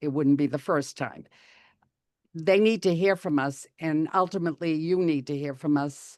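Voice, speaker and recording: A woman with a very deep, low pitch speaks at a moderate pace. Her pitch varies in an ordinary way over a quiet background. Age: 80s+. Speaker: town meeting member giving public comment. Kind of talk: public comment at a hearing. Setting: video call.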